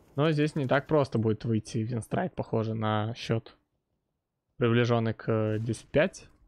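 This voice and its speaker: A man talks in an unremarkable speaking voice at medium pitch, with ordinary pitch variation and a fairly slow pace. The sound is dry and close with no echo, over a quiet background. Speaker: esports caster. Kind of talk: live sports commentary.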